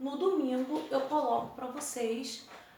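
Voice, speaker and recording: Noticeable background noise sits under the voice, along with audible room echo. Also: woman. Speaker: school teacher. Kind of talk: recorded lesson. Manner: casual, informal.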